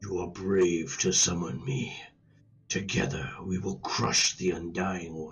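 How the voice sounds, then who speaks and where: Growling and rumbling, a put-on character voice moves along at a fairly slow pace. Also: man, very deep, low pitch for a man. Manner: ominous.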